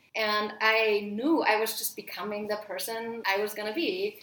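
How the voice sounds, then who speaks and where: A woman speaks with a fairly high pitch. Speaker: podcast host, dog trainer. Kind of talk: casual chat. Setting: in person at a home. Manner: fast.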